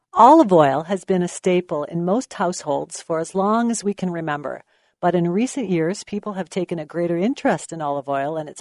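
With hardly any pauses, a woman in an ordinary speaking voice talks at a fairly quick pace with a fairly low pitch and ordinary pitch variation, recorded dry and close with no echo against a quiet background. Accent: Canadian. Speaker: business association executive and co-host. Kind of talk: radio interview. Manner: formal.

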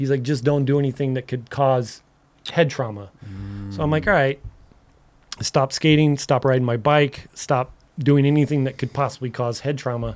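A man has a normal speaking voice with a medium pitch. He talks at a moderate pace with ordinary pitch variation. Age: 40s. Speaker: skateboard filmer and photographer. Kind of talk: casual chat.

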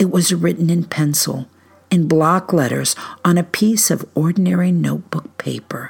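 With noticeable background noise behind her, a woman speaks at a fairly slow pace with a fairly low pitch, in an American accent. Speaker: storyteller and researcher. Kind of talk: dramatic narration of news reports, read aloud in a spooky campfire-story style. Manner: hushed, suspenseful, measured pacing with ominous emphasis.

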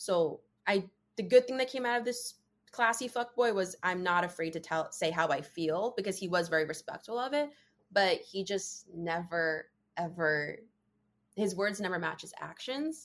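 This woman has an unremarkable speaking voice, medium in pitch, with lively intonation at a moderate pace. The background is quiet. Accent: American. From New Jersey. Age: 20s. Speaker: podcast guest sharing dating story. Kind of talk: personal storytelling in casual interview.

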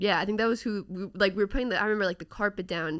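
In a very clean recording with a silent background, a woman speaks with vocal fry. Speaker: sports YouTuber. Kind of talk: casual chat. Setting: studio.

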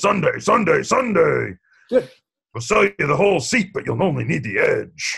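A man's put-on character voice at a moderate pace.

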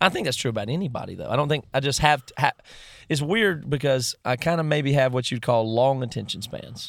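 A man with an American accent and a plain, everyday voice speaks at a fairly quick pace, fairly high in pitch with ordinary pitch variation and big swings in loudness, on a very clean recording with a silent background. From US South (rural). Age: 30s. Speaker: musician. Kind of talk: casual interview conversation. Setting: parked vehicle.

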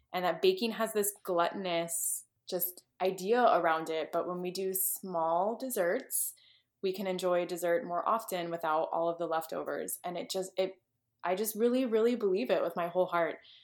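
A woman's ordinary speaking voice at medium pitch, moderate pace and ordinary pitch variation. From Texas. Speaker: cookbook author and food blogger. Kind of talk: podcast interview.

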